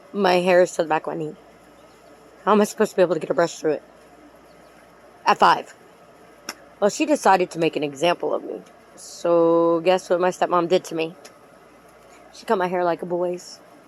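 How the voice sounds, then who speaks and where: Over noticeable background noise, a woman with a fairly low pitch talks at a fairly quick pace, with big swings in loudness and long, frequent pauses. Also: ordinary pitch variation. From Puerto Rican heritage. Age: 40s. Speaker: YouTube true crime commentator. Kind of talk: casual monologue commentary. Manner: animated.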